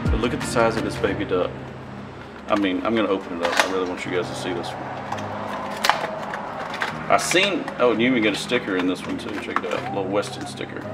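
Music plays behind a man who talks at a very fast pace. His pitch variation is ordinary. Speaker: fishing channel host. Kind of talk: casual unboxing vlog chat. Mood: amused, excited. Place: garage.

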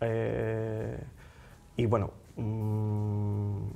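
A man is speaking. His tone is dark and mellow. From Andalusia, Spain. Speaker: magician. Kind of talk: casual interview chat. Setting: studio. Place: studio. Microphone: lapel.

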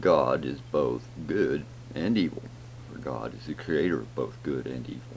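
The speaker has an American accent, ordinary pitch variation and big swings in loudness. Light background noise is present. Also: man, very deep, low pitch for a man, moderate pace. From rural Southern US. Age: old. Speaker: home vlogger. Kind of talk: casual talk to camera. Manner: rambling, thoughtful. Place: home room. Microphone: webcam.

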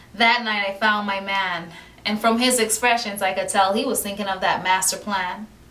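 A woman speaks at a moderate pace with fairly even intonation. There is audible room echo. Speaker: poet. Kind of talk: spoken word poetry reading. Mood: warm, romantic, expressive. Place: home room. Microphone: camera far.

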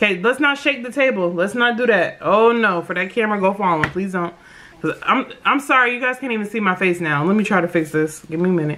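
A woman at a very fast pace, with lively intonation and light background noise. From United States. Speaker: mukbang YouTuber. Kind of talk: casual vlog chat while eating. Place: home room. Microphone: phone near.

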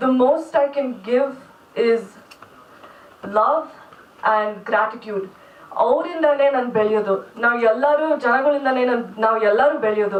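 A woman speaks at a high pitch with ordinary pitch variation and very even loudness. Noticeable background noise runs underneath. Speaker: singer and reality show contestant. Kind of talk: press conference remarks. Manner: halting, mixing English and Kannada.

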